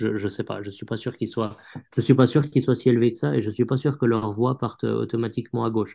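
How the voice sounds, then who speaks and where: With vocal fry and a dark, mellow tone, a man talks at medium pitch with fairly even intonation, a fairly quick pace and hardly any pauses. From Switzerland, canton of Vaud. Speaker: journalist. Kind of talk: interview. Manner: halting, many repetitions.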